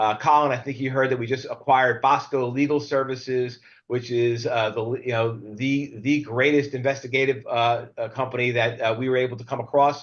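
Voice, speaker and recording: A man talks at a fairly quick pace with hardly any pauses. His pitch sits in the medium range. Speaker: webinar host and legal services sales executive. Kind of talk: webinar introduction and sales plug. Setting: live video webinar. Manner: fast; animated, with many fillers.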